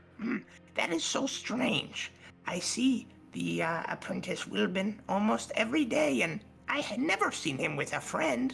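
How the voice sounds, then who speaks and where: A put-on character voice at a middle pitch comes through over clear background noise. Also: moderate pace. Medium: actual play. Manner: hesitant, stammering, polite.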